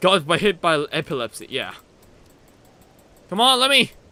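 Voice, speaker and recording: A man's raised, projected voice, high in pitch and bright and sharp in tone, at a moderate pace. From Germany. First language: not English. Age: 20s. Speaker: gaming streamer. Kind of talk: live gameplay stream chat. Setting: live stream. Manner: animated.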